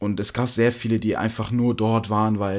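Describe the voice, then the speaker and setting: On a very clean recording with a silent background, a man talks in a fairly low voice. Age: young. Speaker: podcast co-host. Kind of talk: casual chat.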